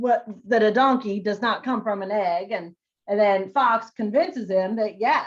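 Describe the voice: Ordinary pitch variation in plain reading aloud, set against quiet surroundings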